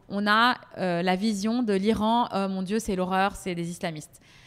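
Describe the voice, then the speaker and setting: With fairly even intonation, the woman speaks at a medium pitch. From Paris, France. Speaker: PR professional and tablescaping influencer. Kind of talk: interview. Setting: podcast. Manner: hesitant, many fillers.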